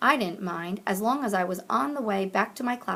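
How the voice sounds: reading done in a natural voice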